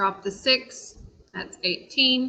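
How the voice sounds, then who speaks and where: A woman speaks at a very slow pace in a raised, projected voice. Her tone is bright and sharp. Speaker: math teacher. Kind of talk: lecture.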